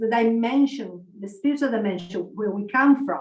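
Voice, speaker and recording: Using a plain, everyday voice, a woman speaks at a moderate pace in a fairly high pitch with ordinary pitch variation. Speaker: spiritual researcher and community ambassador. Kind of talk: online conference talk.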